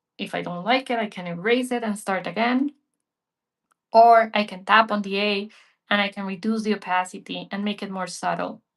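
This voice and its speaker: A woman speaks at a moderate pace in a medium pitch, her loudness swinging widely while her intonation stays fairly even, in a plain, everyday voice. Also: quiet background. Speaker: digital art teacher. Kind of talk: live painting tutorial. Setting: livestream.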